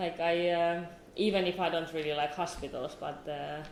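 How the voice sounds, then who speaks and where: Amid audible room echo and noticeable background noise, a woman speaks at a moderate pace in a fairly low, monotone, flat voice. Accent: Finnish. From southern Finland. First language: Finnish. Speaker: new mother. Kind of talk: personal interview. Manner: halting.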